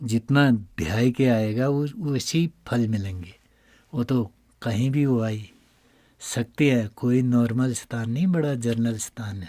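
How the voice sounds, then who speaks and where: In a very clean recording with a silent background, a man talks at a medium pitch with a dark, mellow tone and ordinary pitch variation. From Uttarakhand, India. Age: 60s. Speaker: temple priest. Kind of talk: interview. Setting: inside a cave shrine.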